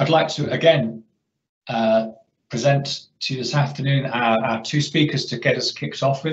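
There is audible room echo as a man talks at a moderate pace with fairly even intonation. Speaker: webinar host. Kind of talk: presentation introduction. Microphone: video call.

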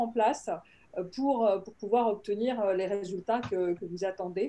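A woman talks at a fairly slow pace with ordinary pitch variation. Her tone is dark and mellow. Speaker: panelist. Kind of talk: panel discussion. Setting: video call. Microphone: video call.

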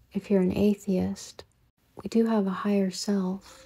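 Over music in the background, a woman speaks very slowly at a medium pitch with monotone, flat intonation. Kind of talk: podcast monologue to camera, reflective spiritual talk.

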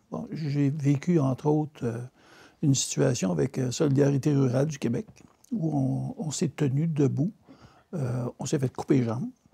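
Somewhat breathy and dark and mellow in tone, a man talks at a fairly slow pace with long, frequent pauses and ordinary pitch variation over a quiet background. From Quebec. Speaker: regional politician, former mayor. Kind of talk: panel discussion. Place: studio. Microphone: lapel.

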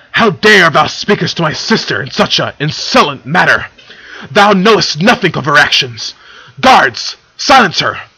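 Using a put-on character voice, a man speaks in a bright, sharp tone with a slightly husky edge and big pitch swings. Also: fairly high pitch for a man, moderate pace.

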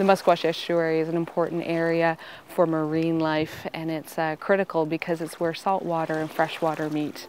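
Music sounds in the background as a woman with fairly low pitch talks at a moderate pace in a flat monotone. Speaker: conservation organisation representative. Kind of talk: interview answer.

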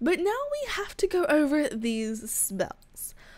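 Noticeable background noise runs throughout as a woman talks. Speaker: gaming youtuber. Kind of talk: gaming commentary.

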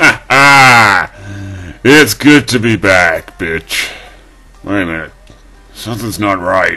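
The speech moves at a very slow pace while faint music plays in the background. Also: man, fairly low pitch for a man. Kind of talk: comic overacting. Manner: brash, then screaming rage.

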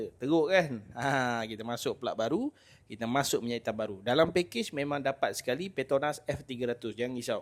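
Fairly quick speech from a man, pitched in the medium range. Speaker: motorcycle mechanic. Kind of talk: tutorial. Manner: animated.

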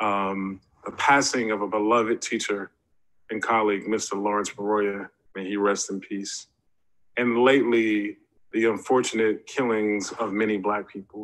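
At a moderate pace, a man speaks in a fairly low, monotone, flat voice. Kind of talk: formal ceremonial speech. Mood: earnest, solemn. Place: home room. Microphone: webcam.

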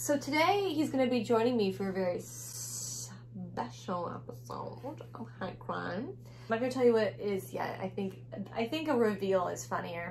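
A woman talks at a moderate pace with medium pitch, lively intonation and vocal fry. Audible room echo surrounds her.

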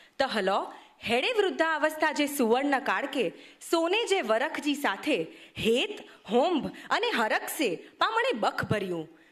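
A woman's high voice swings very widely in pitch while her loudness stays very even. Noticeable background noise is present. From Kutch, Gujarat (Bhujpur village). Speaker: speaker. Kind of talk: speech.

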